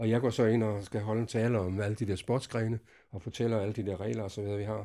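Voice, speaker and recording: On a very clean recording with a silent background, a man speaks at a moderate pace in a dark, mellow tone with fairly even intonation. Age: old. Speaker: veteran spearfisher. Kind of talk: interview storytelling. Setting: garden hut. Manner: halting.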